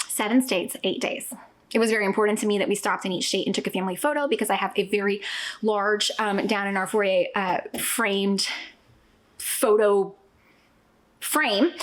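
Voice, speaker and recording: A woman talks with ordinary pitch variation and long, frequent pauses. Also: medium pitch for a woman. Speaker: family travel vlogger. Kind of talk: casual vlog chat. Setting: at home. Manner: fast; animated.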